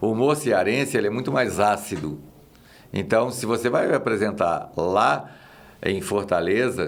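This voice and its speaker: With audible room echo, a man speaks at a medium pitch in a Minas Gerais accent. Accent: Minas Gerais (mineiro) accent, kept. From Minas Gerais, Brazil. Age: 60s. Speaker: actor and comedian. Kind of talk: casual chat.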